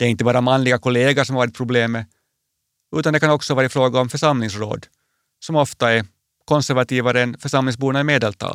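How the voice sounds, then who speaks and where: A man with a Finland-Swedish accent talks very fast at a very even loudness, in a dry, close sound with no echo on a very clean recording with a silent background. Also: medium pitch for a man, fairly even intonation. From Finland, Swedish-speaking (Porvoo area). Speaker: bishop. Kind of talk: personal radio essay. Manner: calm, reflective.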